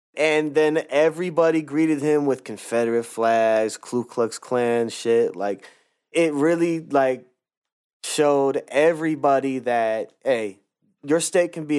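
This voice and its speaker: A man speaks in a normal speaking voice with an American accent, his pitch fairly high. He talks at a fairly slow pace with ordinary pitch variation. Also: very clean recording, silent background. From US Northwest, Portland, Oregon. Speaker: podcast co-host and beat maker. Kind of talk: casual chat.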